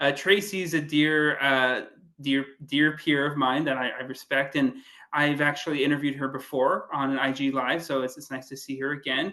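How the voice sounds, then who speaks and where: At a moderate pace, a man with a fairly high pitch and a bright, sharp tone speaks in a monotone, flat intonation. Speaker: dating coach and podcast host. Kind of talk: interview conversation.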